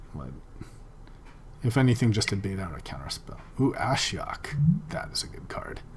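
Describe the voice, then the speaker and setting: The speaker whispers at a moderate pace, with long pauses coming often. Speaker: gaming video commentator. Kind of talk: casual gameplay commentary. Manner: soft-spoken.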